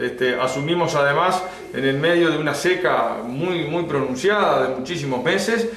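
Room echo is audible as a man talks. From Uruguay, Lavalleja department. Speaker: local government head. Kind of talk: interview. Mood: calm, serious. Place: office. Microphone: phone near.

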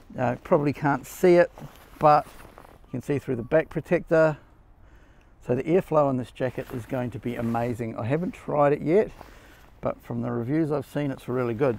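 A man speaks with ordinary pitch variation and big swings in loudness, in a dry sound with no echo. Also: moderate pace. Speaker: motorcycle gear reviewer. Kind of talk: casual product review. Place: garden.

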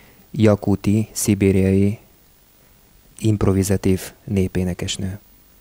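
Speaking very slowly in a flat monotone, a man with a fairly low pitch and a dark, mellow tone comes through a dry sound with no echo. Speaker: radio host. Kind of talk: radio show introduction. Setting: studio. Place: studio.

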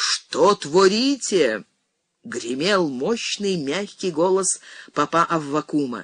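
Putting on a character voice, a man speaks at a fairly slow pace with a high, resonant pitch. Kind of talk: church sermon. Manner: thundering, preaching, righteous.

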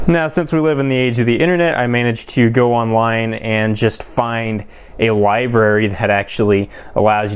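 Using an ordinary speaking voice, a man talks with ordinary pitch variation and a fairly low pitch. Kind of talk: tutorial. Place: workshop.

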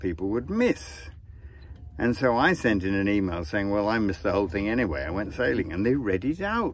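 This man's voice is fairly low, with lively intonation. The recording is dry with no echo, and there is light noise in the background. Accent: English. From England. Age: 70s. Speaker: sailor and author. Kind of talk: casual vlog monologue. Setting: outdoors on a sailboat at sea. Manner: relaxed, chatty. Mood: relaxed, wry. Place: boat. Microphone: phone near.

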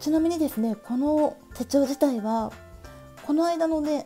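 A woman's lively intonation with music in the background. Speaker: stationery YouTuber. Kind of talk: casual talk to camera.

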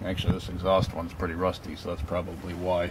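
At a fairly quick pace, a man whose pitch is very deep and low speaks while noticeable background noise carries on. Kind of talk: tutorial. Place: street.

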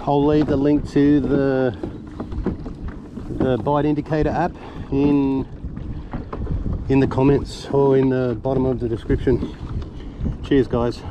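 A man talks fairly slowly in a flat monotone, with long, frequent pauses, a dry, echo-free sound and noticeable background noise. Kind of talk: casual vlog chat. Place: boat. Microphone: camera far.

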